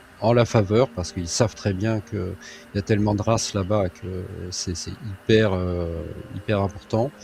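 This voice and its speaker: Noticeable noise sits in the background. A man with a fairly low voice speaks fairly slowly, with fairly even intonation. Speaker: hypnotherapist. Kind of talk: hypnosis session. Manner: loud.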